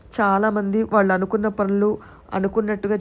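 Here a woman talks. Her voice is medium in pitch. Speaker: YouTube vlogger. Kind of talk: vlog narration.

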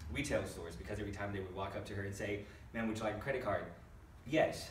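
Light background noise and audible room echo surround a man speaking at a fairly low pitch. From Brazil. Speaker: stand-up comedian. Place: stage. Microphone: camera far.

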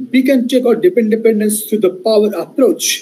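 A man speaks at a high pitch. Light background noise can be heard. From India. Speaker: professor; university lecturer. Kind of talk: lecture. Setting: video call. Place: home room.

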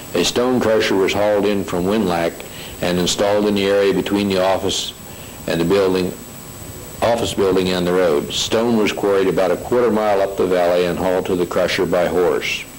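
Through noticeable background noise, a man talks in a fairly low pitch with very even loudness and monotone, flat intonation. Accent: American. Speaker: station foreman giving local history. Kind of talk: historical narration reading from notes.

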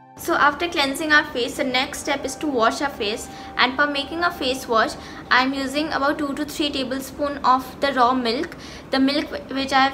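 Over light background noise, a woman uses a raised, projected voice at a moderate pace. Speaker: beauty vlogger. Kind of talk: tutorial. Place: home room. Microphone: phone near.

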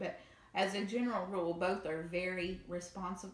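A woman with a Southern US accent speaks at a medium pitch with fairly even intonation, and audible room echo surrounds her voice. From US South. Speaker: video creator. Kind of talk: demo video. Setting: home, recorded video. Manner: casual, friendly. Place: home room. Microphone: camera far.

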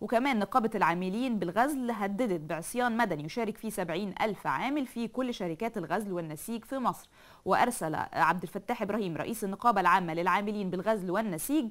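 A woman talks at a moderate pace with lively intonation and hardly any pauses. The background is quiet. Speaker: TV presenter. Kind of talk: news reading and commentary. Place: studio. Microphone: lapel.

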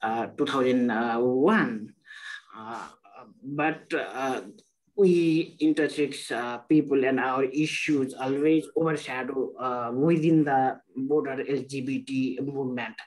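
A man talks at a very slow pace in a fairly high pitch. His intonation stays fairly even. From Nepal. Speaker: intersex activist; webinar panelist. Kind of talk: panel discussion. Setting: video call. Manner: halting. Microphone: video call.

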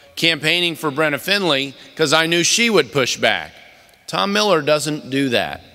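Ordinary pitch variation over music in the background. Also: man, moderate pace. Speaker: keynote speaker, politician. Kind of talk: political speech. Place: hall. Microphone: podium.

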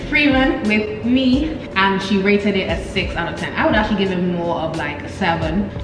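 The woman speaks at a medium pitch and a moderate pace, with lively intonation and hardly any pauses. There is noticeable background noise and audible room echo. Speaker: college student. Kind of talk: casual talk to camera. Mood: cheerful, laughing. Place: home room.

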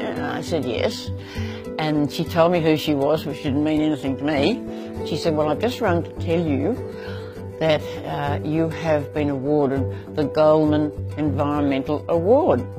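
Very deep, low-pitched woman's voice with very wide pitch swings, a fairly slow pace, and clear music in the background. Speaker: farmer. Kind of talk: interview answer. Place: home room. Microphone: lapel.

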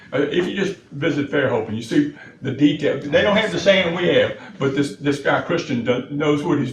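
A man speaks in an American accent at a fairly high pitch. Noticeable background noise runs behind him. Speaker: city official presenting to county board. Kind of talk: public meeting presentation. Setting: board meeting room. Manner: fast; halting, many repeated words.

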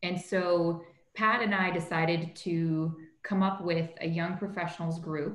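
A woman with a Canadian accent speaks in a fairly low, somewhat breathy voice with fairly even intonation, and the room echo is audible. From Canada, Toronto. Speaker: corporate lawyer, young professionals group leader. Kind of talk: interview conversation. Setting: video call. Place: home room. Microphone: video call.

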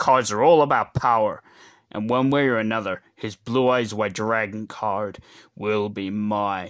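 A man performs a cartoonish character voice at a moderate pace. The background is quiet. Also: medium pitch for a man. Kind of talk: cartoon character voice impressions. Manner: cold, contemptuous.

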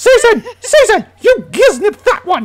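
In a put-on, squeaky character voice with a British accent, the speaker uses an extremely high pitch at a moderate pace.

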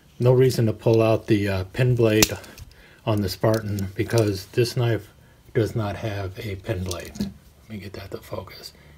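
Against noticeable background noise, a man speaks at a moderate pace. His pitch is fairly low and his intonation fairly even. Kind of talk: tutorial. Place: home room. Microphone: phone near.

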